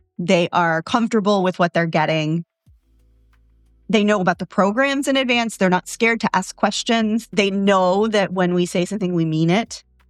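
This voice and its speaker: A woman of medium pitch talks in an animated tone with ordinary pitch variation and very even loudness. The sound is dry and close with no echo, and music plays in the background. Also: moderate pace. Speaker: CEO of a mental health practice, podcast host. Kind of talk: solo podcast monologue. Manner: loud and bombastic.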